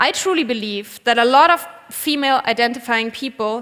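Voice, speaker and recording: A woman speaks with a German accent at a high pitch. Her pitch variation is ordinary and her pace moderate. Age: 30s. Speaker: vegan cook and cookbook author. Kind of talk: conference talk. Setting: stage with audience.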